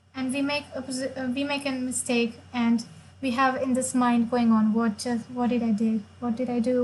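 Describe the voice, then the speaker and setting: Her pitch is high, and she keeps a moderate pace. The woman's intonation is monotone and flat. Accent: Marathi. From India, Maharashtra. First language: Marathi. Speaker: chess player and streamer. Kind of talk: live stream chess commentary.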